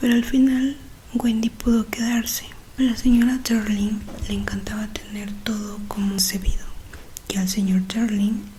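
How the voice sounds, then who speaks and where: Soft-spoken and gentle in tone, a woman with a fairly high pitch talks slowly in a flat monotone, leaving long, frequent pauses over noticeable background noise. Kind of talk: audiobook-style reading of a classic novel. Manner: soft-spoken, gentle.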